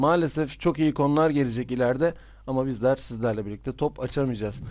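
A man's dark, mellow voice carries ordinary pitch variation. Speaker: gaming youtuber. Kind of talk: game commentary video. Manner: fast.

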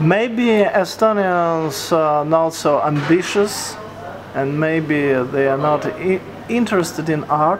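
The speech moves at a very slow pace. Background noise is noticeable throughout. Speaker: interviewer. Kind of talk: interview question. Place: home room.

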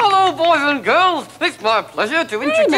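Someone uses a put-on character voice at a high pitch and moderate pace, with clear background noise. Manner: talking with unmoving lips, ridiculous.

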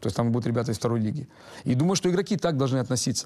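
A man talks at a medium pitch with ordinary pitch variation. The background is quiet. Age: 40s. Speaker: football coach. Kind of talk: interview. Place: hall.

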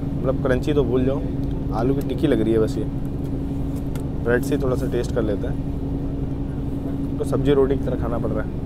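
A man speaks at a moderate pace, the sound dry with no echo. Loud background noise is present. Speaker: train travel vlogger. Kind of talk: casual vlog chat, food review. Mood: relaxed, playful. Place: train.

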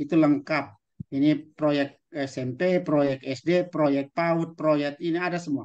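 A man with a fairly high pitch talks fairly slowly, the background quiet. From East Nusa Tenggara, Indonesia. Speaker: teacher trainer, webinar speaker; webinar presenter for teachers. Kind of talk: online webinar presentation; lecture. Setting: video call. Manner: animated. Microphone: video call.

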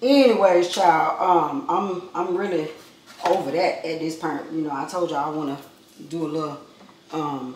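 A woman with fairly low pitch and ordinary pitch variation talks at a moderate pace, with audible room echo and light background noise. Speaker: vlogger. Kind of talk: casual vlog chat. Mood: playful, joking. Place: kitchen. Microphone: camera far.

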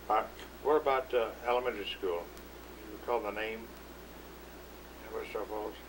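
A man talks at a moderate pace, leaving long, frequent pauses, with noticeable background noise behind him. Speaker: oral history interviewer. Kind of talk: oral history interview questions. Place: hall.

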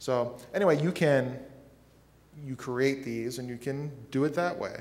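A man talks at a fairly slow pace. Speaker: podcast host. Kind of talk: conference workshop presentation. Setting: stage with audience. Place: hall. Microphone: podium.

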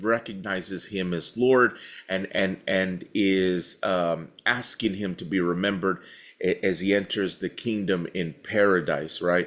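Against a quiet background, a man talks at a fairly low pitch. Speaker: pastor. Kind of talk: bible study teaching.

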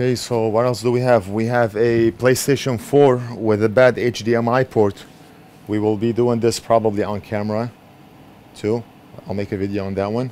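Over light background noise, a man speaks at a moderate pace with monotone, flat intonation. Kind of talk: casual vlog chat. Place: workshop. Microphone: camera far.

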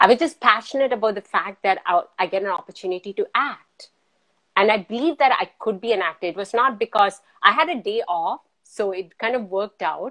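Bright and sharp, a woman's voice moves at a fairly quick pace with lively intonation. The background is quiet. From Qatar. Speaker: physician and multifaceted artist; guest. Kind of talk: casual chat. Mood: warm, smiling. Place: home room. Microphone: video call.

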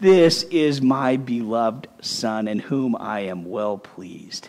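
A man does a booming, put-on character voice. It sits at a medium pitch and moves at a fairly slow pace. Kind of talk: children's sermon. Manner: booming, solemn.

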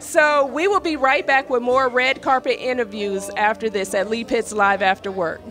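Music plays in the background. A woman speaks at a high pitch with lively intonation. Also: moderate pace, hardly any pauses. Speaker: red carpet host. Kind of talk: live event interview. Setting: live event, in person.

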